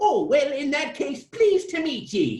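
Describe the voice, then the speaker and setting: This high-pitched, put-on character voice moves at a moderate pace. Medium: read story.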